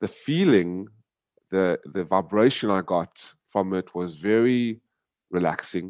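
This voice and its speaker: A man with an American accent speaks at a fairly low pitch, his pitch varying an ordinary amount. The sound is dry and close with no echo, over a quiet background. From US. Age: 40s. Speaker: activist. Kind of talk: interview. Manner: halting.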